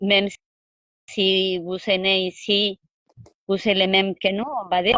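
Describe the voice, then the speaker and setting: In a bright, sharp tone, a woman speaks at a fairly slow pace in a medium pitch with monotone, flat intonation, the sound dry and close with no echo. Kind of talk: interview. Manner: halting.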